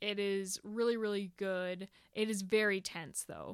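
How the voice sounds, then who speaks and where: A woman with an unremarkable speaking voice talks at medium pitch and a fairly slow pace, with fairly even intonation. The recording is very clean and dry, with a close sound, no echo and a silent background. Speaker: guest, movie fan. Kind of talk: casual chat.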